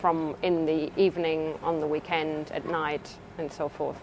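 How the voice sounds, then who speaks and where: A woman with a German accent speaks at a fairly low pitch. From Germany. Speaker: research scientist. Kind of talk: interview. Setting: laboratory. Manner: halting.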